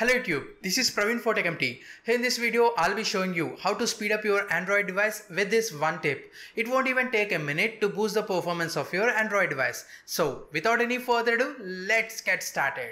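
This man speaks in a raised, projected voice with a bright, sharp tone. His pace is fairly quick, with hardly any pauses and ordinary pitch variation. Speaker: tech video host. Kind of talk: tutorial. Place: studio.

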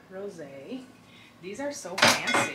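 A woman speaks against loud background noise. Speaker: lifestyle vlogger. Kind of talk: casual vlog chat. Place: home room. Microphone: camera far.

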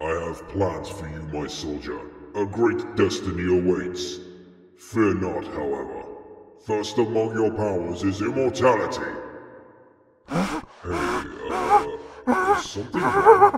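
Using a put-on character voice, a man speaks at a fairly low pitch and a fairly slow pace, with long, frequent pauses, big swings in loudness and a clear echo. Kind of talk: comic dub.

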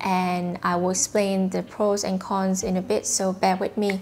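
Speaking with a Vietnamese accent, a woman uses a medium pitch and a fairly slow pace over light background noise. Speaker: YouTuber. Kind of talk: tutorial monologue to camera. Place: home room. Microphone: lapel.

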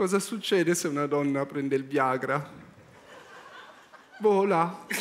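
With a deadpan, calm tone, a man speaks at a very slow pace and a fairly high pitch. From Milan, Italy. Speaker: stand-up comedian. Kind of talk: comedy monologue on talent show stage. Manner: slow, sighing, deadpan; extremely calm, unhurried. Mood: anxious, sighing, deadpan. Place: stage. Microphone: headset.

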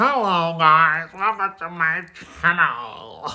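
This is a put-on character voice at a middle pitch. It moves at a very slow pace. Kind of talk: stiff, polished presenter tone.

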